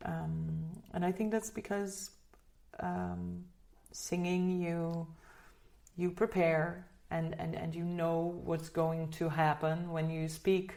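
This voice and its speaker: Speaking very slowly with long, frequent pauses, a woman has a slight Dutch accent and a fairly low pitch. Her tone is dark and mellow, her intonation monotone and flat. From Netherlands. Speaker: singer. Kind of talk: interview. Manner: halting, many repeated words.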